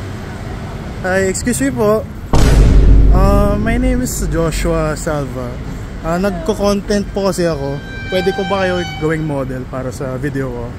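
Dry sound with no echo, set against loud background noise. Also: fairly slow pace. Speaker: content creator filming strangers. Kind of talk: casual street interview chat. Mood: polite, friendly. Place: street. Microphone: phone near.

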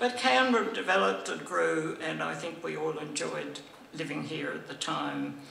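Light background noise and audible room echo surround a woman speaking. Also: moderate pace. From Australia. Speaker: former senator. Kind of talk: speech. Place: hall. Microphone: podium.

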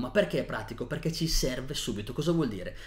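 A man with a fairly high pitch speaks with vocal fry. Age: 30s. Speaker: nutrition educator. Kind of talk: tutorial. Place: home room.

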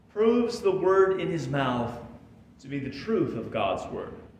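A man's voice swings very widely in pitch, with audible room echo and light background noise. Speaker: pastor. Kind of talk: sermon. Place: church.

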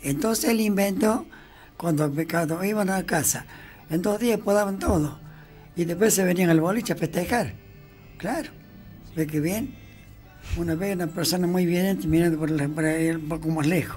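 Over music in the background, a man with a high pitch speaks with long, frequent pauses. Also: ordinary pitch variation, moderate pace. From Colonia Caroya, Córdoba, Argentina. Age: 80s+. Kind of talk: reminiscing anecdote.

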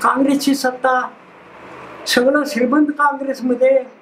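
A man talks at an extremely high pitch with monotone, flat intonation. Light background noise can be heard. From Maharashtra. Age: 80s+. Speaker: freedom fighter. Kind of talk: interview. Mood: bitter about post-independence politics. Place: home room. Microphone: lapel.

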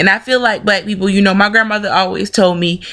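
A woman talks in a Southern US accent with vocal fry. The background is quiet. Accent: Southern American English. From Southern United States. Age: 20s. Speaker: video blogger. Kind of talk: casual opinion talk to camera. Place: home room. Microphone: webcam.

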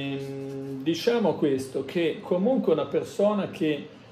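Music plays in the background as a man speaks at a fairly slow pace with ordinary pitch variation, and the room echo is audible. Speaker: tarot reader. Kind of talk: tarot reading monologue. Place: home room. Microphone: phone near.

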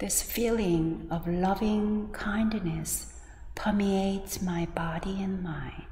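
A woman at a very slow pace in a gentle, calm tone, with audible room echo and light background noise. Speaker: Buddhist teacher leading guided meditation. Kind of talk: guided meditation and dharma talk. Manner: slow, gentle, calm; soothing, with long pauses between phrases. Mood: calm, soft, gentle. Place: church.

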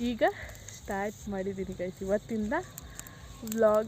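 The woman is heard against noticeable background noise. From Malnad region, Karnataka. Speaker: vlogger. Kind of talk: casual vlog chat. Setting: outdoors at night by a campfire.

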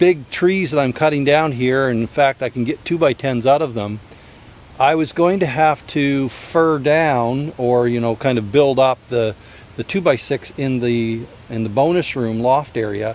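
A man at a fairly slow pace, ordinary pitch variation, dry sound with no echo. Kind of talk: casual vlog chat. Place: open country. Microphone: phone near.

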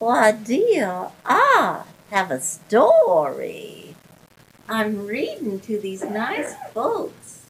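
Fairly high female voice moving at a very slow pace. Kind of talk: bedtime story reading. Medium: audio drama. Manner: sweet, rambling, confused.

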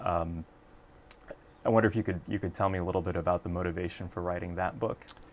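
With long, frequent pauses between very fast bursts, a man talks in a very deep, low voice with fairly even intonation. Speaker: podcast host and professor. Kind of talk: interview conversation. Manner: halting, repeats words.

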